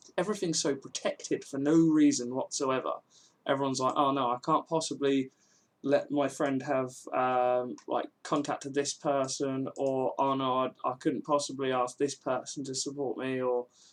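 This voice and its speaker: Against a quiet background, a man with a southern English accent talks in a fairly high voice with fairly even intonation. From England, Milton Keynes. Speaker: game developer streamer. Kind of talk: casual live stream chat. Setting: live stream. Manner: fast.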